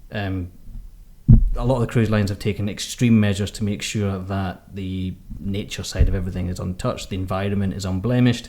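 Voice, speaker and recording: A man talks at a fairly quick pace with a Scottish accent. His pitch is fairly low and his intonation fairly even. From Scotland. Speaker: podcast co-host, cruise magazine editor. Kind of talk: casual chat.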